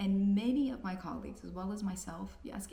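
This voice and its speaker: With audible room echo and noticeable background noise, a woman speaks at a moderate pace. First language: Spanish. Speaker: physician. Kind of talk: persuasive commentary.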